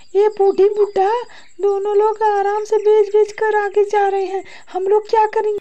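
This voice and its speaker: A woman's cartoonish character voice at an extremely high pitch. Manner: harsh, domineering.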